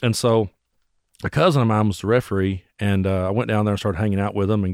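In a very clean recording with a silent background, a man with an Appalachian accent talks at a very fast pace, his fairly low pitch carrying fairly even intonation. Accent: Appalachian Southern US. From US South, Bell County, Kentucky. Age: 40s. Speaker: singer-songwriter and internet radio host. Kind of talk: casual chat.

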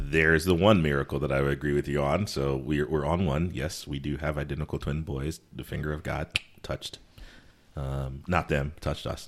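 A man with an American accent speaks at a moderate pace in a very deep, low pitch, with vocal fry and fairly even intonation. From US East Coast (Connecticut, also US South). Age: 40s. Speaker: podcast co-host. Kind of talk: casual chat.

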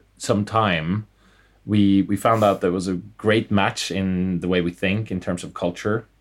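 A man with a Norwegian accent, fairly low pitch and monotone, flat intonation, on a very clean recording with a silent background. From Norway. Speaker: startup co-founder and CEO. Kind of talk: interview conversation.

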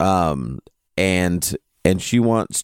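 An animated man comes through with a dry, close sound and no echo. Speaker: podcast co-host. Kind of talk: casual chat. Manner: jokey, animated.

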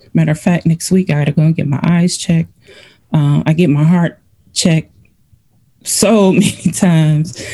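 A woman with an American accent speaks at a moderate pace in a fairly low, somewhat breathy voice with a dark, mellow tone. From Cleveland, Ohio. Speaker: breast cancer patient, military veteran. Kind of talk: interview.

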